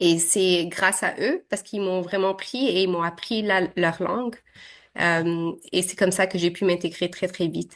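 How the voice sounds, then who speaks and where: A woman talks at a fairly slow pace in a medium pitch with ordinary pitch variation. The background is quiet. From Quebec, arrived from Syria at 7. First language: Arabic (speaking French). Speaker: interviewee, immigrant computer science graduate. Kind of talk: interview. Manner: hesitant, many fillers.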